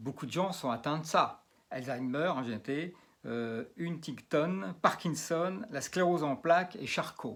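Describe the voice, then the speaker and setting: A man at a very slow pace with lively intonation. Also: fairly high pitch for a man. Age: 60s. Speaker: magnetic healer and geobiologist. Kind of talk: demonstration video. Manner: halting, many fillers and repetitions.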